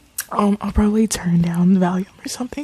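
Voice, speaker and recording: Recorded with a dry, close sound and no echo, a woman speaks with ordinary pitch variation over noticeable background noise. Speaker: ASMR tarot reader. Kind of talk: casual video outro. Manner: louder than usual whisper; hesitant, many fillers.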